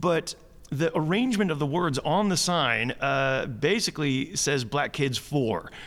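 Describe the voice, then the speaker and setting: On a very clean recording with a silent background, a man with an American accent speaks at a fairly slow pace, his fairly high-pitched voice showing vocal fry and lively intonation. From US Midwest, Chicago. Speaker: comedian. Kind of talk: interview. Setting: theatre.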